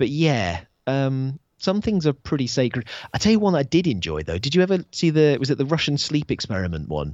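Delivered at a fairly quick pace, the speech moves through very wide pitch swings. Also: man, fairly high pitch for a man. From UK, army family, moved around. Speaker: podcast guest. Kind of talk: casual chat.

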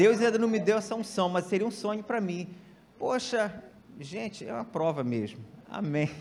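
Against noticeable background noise and audible room echo, a man with a high pitch speaks at a moderate pace with lively intonation. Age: 40s. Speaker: church elder preaching. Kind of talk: sermon. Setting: church.

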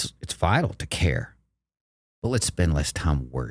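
On a very clean recording with a silent background, a man with an American accent speaks with very wide pitch swings. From Texas. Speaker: marathon running coach. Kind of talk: casual interview chat.

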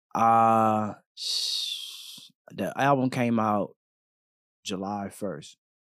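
A man speaks at a very slow pace with long, frequent pauses. The recording is very clean, with a silent background. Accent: American. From Texas, Killeen. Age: 20s. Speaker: rapper. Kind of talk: casual chat.

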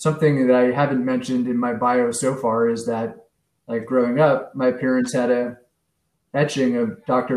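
With an American accent, a man of medium pitch speaks at a moderate pace in a monotone, flat intonation against a quiet background. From San Francisco, US West Coast. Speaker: local political candidate. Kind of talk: interview.

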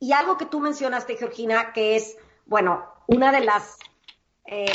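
A woman speaks with lively intonation. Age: 50s. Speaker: psychologist and life coach. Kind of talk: interview.

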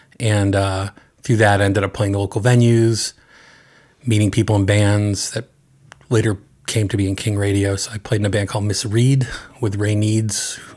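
A man's somewhat breathy voice in an American accent, fairly quick and monotone with flat intonation. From eastern Massachusetts (Andover). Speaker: songwriter and record producer. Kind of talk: interview. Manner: halting, many fillers.

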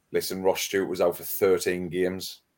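Fairly low in pitch, a man talks with a Wearside accent. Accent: Wearside (Sunderland) English. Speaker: podcaster and football fan. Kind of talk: casual chat. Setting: video call.

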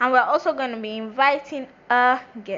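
Noticeable background noise accompanies a woman who talks at a moderate pace in a high voice with ordinary pitch variation. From Nigerian family, born in Brooklyn, New York. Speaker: podcast host. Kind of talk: solo monologue on racism. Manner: casual, halting.

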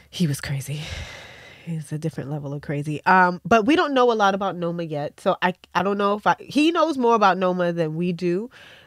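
This woman has an unremarkable speaking voice at a fairly low pitch. She talks at a fairly quick pace with lively intonation. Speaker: podcast host. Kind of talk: casual interview chat.

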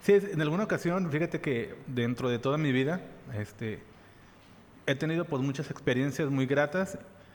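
A man's plain, everyday voice, fairly high-pitched, with ordinary pitch variation at a moderate pace. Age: 30s. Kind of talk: casual chat.

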